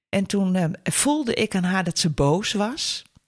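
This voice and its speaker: In a very clean recording with a silent background, a woman's somewhat breathy voice sits at medium pitch with ordinary pitch variation. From northern Netherlands. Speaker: lecturer and stepfamily counsellor. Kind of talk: interview.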